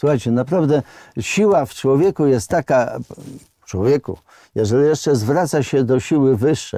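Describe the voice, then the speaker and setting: A man with a dark, mellow tone speaks at a moderate pace with lively intonation, the sound dry with no echo and the background quiet. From Poland. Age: 70s. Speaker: independence activist, former boxer; interview guest. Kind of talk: interview testimony; interview answer. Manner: halting. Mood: earnest, emotional recollection. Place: studio. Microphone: lapel.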